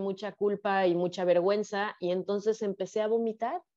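At a fairly slow pace, a woman talks with ordinary pitch variation in an ordinary speaking voice. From Mexico, Guadalajara, Jalisco. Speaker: sex educator and psychologist. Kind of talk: casual interview, personal testimony.

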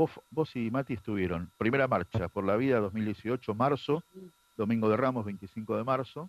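This man has a plain, everyday voice at a medium pitch. He speaks at a fairly slow pace with ordinary pitch variation. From Argentina, Buenos Aires area (Ciudadela, Morón). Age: 50s. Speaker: adoptee sharing testimony, pro-life activist. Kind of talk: testimony.

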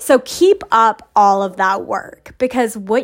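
Fairly slow, fairly high-pitched speech from a woman, with ordinary pitch variation. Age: 40s. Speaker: podcast host. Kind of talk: motivational monologue. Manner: casual.

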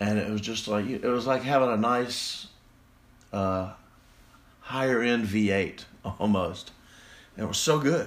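With a Southern US accent, a man speaks at medium pitch and a fairly slow pace. He takes long, frequent pauses, and his pitch varies in an ordinary way. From Mississippi. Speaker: podcast host. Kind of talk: casual solo podcast monologue.

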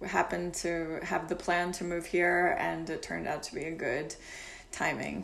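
A woman with an American accent speaks with audible room echo and noticeable background noise. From Kentucky, US. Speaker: music publisher. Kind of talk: casual interview. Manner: halting, many fillers.

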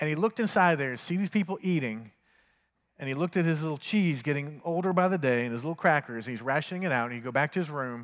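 Lively intonation runs through a normal speaking voice. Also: man. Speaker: pastor. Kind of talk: sermon. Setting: church. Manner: fervent, earnest prayer cadence, leading the congregation.

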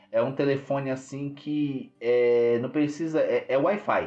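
This man's fairly high voice, with typical pitch movement, comes through noticeable background noise. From São Paulo, Brazil (Grajaú). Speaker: podcast host. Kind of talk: casual chat. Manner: animated.

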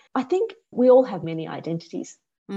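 A woman speaks at a very fast pace with a somewhat breathy voice. Her tone is dark and mellow. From Australia. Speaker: board director and author. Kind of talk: interview conversation.

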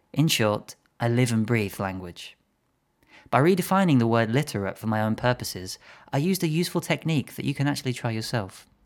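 On a very clean recording with a silent background, an unremarkable speaking voice talks at a fairly quick pace with lively intonation. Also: man, medium pitch for a man. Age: 20s. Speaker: language coach. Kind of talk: solo podcast monologue.

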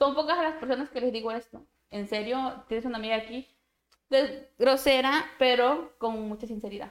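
This woman has a high-pitched voice with ordinary pitch variation. She speaks at a moderate pace. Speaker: podcast co-host. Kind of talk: casual chat. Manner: blunt.

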